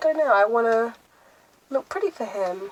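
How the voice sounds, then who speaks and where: A woman speaks with lively intonation at a fairly high pitch. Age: young. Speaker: lifestyle vlogger. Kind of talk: casual vlog talk to camera. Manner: loud.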